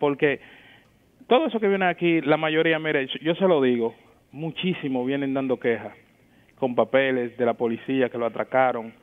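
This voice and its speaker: A man speaks at a moderate pace in a fairly high pitch. His pitch varies in an ordinary way. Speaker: caller. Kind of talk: call-in complaint. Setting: phone call. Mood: complaining, concerned. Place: studio.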